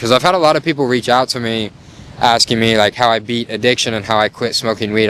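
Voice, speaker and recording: Noticeable background noise surrounds a man speaking at a very fast pace with a medium pitch and fairly even intonation. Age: 20s. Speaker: content creator. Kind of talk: casual talk to camera. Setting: outdoors.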